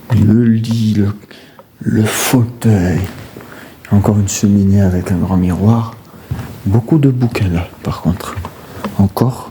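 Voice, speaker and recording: A man with a fairly low pitch talks at a very slow pace with long, frequent pauses. Noticeable background noise runs underneath. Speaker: urbex explorer, video creator. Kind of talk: exploration vlog narration. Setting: outdoors and in outbuildings of an abandoned estate. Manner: animated, exclamatory; soft-spoken, speaking quietly.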